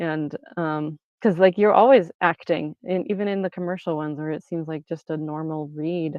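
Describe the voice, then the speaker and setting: It's a plain, everyday voice moving at a moderate pace. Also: woman. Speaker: voice actor. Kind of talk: interview answer. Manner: casual, conversational.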